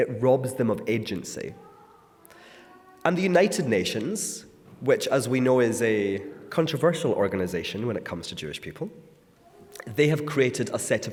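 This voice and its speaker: Music plays in the background as a man with a Scottish accent speaks at a moderate pace and medium pitch, with very wide pitch swings. He leaves long, frequent pauses, and audible room echo is present. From Scotland. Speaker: author and speaker. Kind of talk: talk to a congregation. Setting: synagogue.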